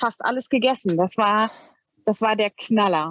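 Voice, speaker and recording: A woman has an ordinary speaking voice with a fairly high pitch. She keeps a moderate pace. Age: 40s. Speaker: cat owner. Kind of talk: interview.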